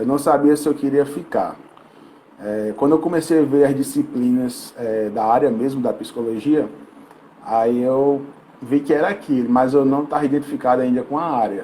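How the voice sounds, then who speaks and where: A man speaks with a fairly high pitch and ordinary variation in it. Noticeable background noise can be heard. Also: moderate pace. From Brazil, Rio Grande do Norte (Mossoró). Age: 20s. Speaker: sport psychologist. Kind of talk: interview podcast.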